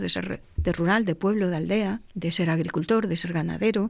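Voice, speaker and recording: With vocal fry and a fairly low pitch, a woman talks at a fairly quick pace. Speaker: panel guest. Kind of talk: panel conversation.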